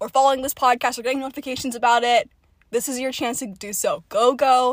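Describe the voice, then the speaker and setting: Dry and close with no echo, a woman's high-pitched voice comes at a very fast pace in an energetic tone. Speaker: podcast host. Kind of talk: casual chat.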